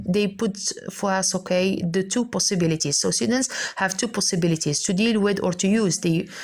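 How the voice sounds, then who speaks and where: Somewhat breathy, a woman talks at a fairly quick pace with a medium pitch and ordinary pitch variation. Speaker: English teacher. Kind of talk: lecture. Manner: fast.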